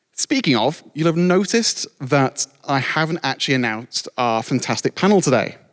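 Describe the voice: Speaking at a moderate pace, a man keeps a medium pitch and lively intonation.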